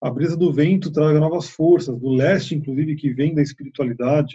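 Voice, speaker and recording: A man's somewhat breathy voice, fairly high in pitch, dark and mellow in tone, at a moderate pace. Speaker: shamanism teacher. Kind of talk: online open class. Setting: online video call.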